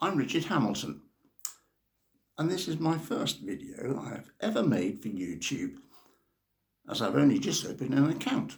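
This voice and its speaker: The speaker has an English accent and a moderate pace. Long pauses come often. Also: man. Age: 70s. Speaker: novelist, retired teacher. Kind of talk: personal introduction monologue.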